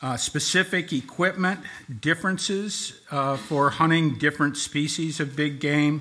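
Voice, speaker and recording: A man speaks with a bright, sharp tone. His pace is fairly slow. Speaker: presenter. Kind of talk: formal presentation of regulations. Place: hall. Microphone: podium.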